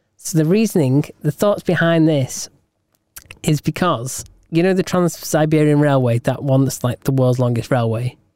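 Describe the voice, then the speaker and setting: A man speaks with a British accent at a fairly high pitch, using ordinary pitch variation. His tone is dark and mellow, and the recording is very clean with a silent background. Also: moderate pace, dry, close sound with no echo. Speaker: podcast co-host. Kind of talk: casual chat.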